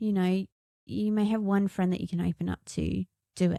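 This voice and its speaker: In an English accent, a woman speaks at a moderate pace with a dark, mellow tone, the sound dry and close with no echo. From England. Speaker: musician and podcast co-host. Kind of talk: casual chat.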